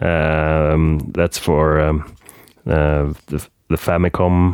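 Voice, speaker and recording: Very deep, low pitch from a man in a Swedish accent, with fairly even intonation. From Sweden, Gothenburg. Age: 30s. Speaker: game collector. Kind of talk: casual chat.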